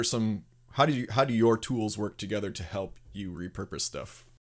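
An unremarkable speaking voice talks at a moderate pace with fairly even intonation on a very clean recording with a silent background. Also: man. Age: 30s. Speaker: podcast host, video production company founder. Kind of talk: casual interview.

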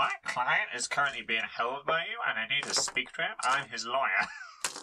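Using a put-on character voice, a man speaks at a moderate pace with a fairly high pitch.

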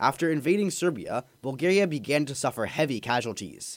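Recorded very cleanly against a silent background, with a dry, close sound and no echo, a man talks at a moderate pace in an unremarkable speaking voice, fairly high in pitch, with lively intonation. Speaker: history podcast narrator. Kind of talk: scripted history narration, radio segment. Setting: community radio broadcast. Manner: steady, even, formal and clear; brisk, informative, newsreader-like.

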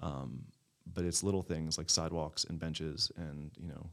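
A very clean, silent-background recording of a man with an American accent at a moderate pace. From Maryland, Baltimore County. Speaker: community developer. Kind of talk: casual chat.

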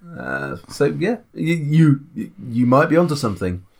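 A man with a British accent, medium pitch and lively intonation. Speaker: tabletop RPG podcast co-host. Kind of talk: casual chat.

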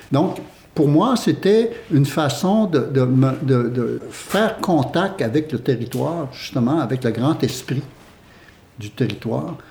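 A man with a fairly high pitch and a dark, mellow tone speaks very slowly, somewhat breathy, with lively intonation. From Quebec, Huron village of Wendake. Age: 60s. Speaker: theatre company co-founder. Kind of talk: casual chat. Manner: halting.

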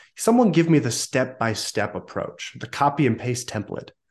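Quiet surrounds a man with an American accent. He talks at a fairly slow pace. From Southern California. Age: 20s. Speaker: sales coach and CEO. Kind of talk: interview.

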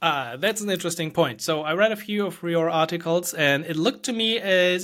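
At a moderate pace, a man with a fairly high pitch speaks in a German accent. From Germany. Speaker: podcast host and developer. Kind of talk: casual interview conversation.

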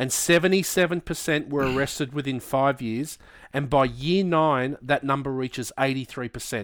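With an Australian accent, a man speaks at a fairly high pitch on a very clean recording with a silent background. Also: ordinary pitch variation, moderate pace. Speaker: podcast co-host. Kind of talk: casual chat.

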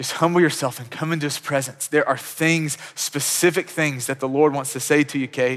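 A man speaks at a moderate pace with a fairly high pitch, fairly even intonation, hardly any pauses and a plain, everyday voice. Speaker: pastor. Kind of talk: sermon with a closing prayer. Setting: church. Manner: warm, sincere, conversational, earnest, with frequent restarts.

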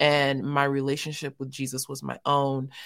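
A woman speaks with an American accent in a very deep, low pitch. The recording is very clean, with a silent background. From US West Coast, South Central Los Angeles. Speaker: theologian and ministry leader. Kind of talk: interview testimony.

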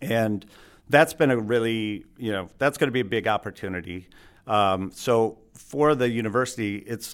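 With an Upper Midwest accent, a man talks at a moderate pace with a medium pitch and ordinary pitch variation, recorded very cleanly against a silent background. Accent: Upper Midwest American. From Michigan, Alpena. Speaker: university sustainability director. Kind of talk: interview. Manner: hesitant, many filler words.

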